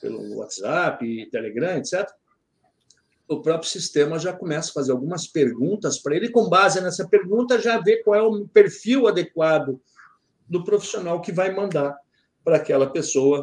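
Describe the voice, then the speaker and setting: Lively intonation marks this man's voice, which sits high in pitch. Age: 60s. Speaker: security industry expert. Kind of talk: podcast interview. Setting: remote from his office.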